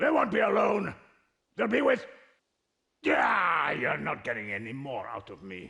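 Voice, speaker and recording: A man does a raspy, put-on character voice at a fairly high pitch. He leaves long, frequent pauses, and his loudness swings widely. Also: moderate pace. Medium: video game. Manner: blustering.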